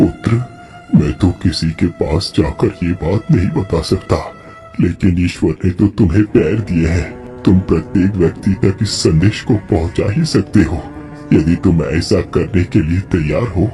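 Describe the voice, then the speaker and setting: A man performs a cartoonish character voice with a very deep, low pitch. He keeps a moderate pace while clear music plays in the background. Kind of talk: moral cartoon lecture. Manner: solemn, fatherly, preachy.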